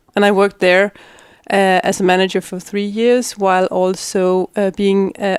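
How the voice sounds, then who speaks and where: With a Danish accent, a woman talks at a moderate pace in a monotone, flat intonation, the recording very clean with a silent background and a dry, close sound with no echo. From Denmark, Middelfart. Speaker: politician. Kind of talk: interview. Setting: in person. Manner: halting, many fillers.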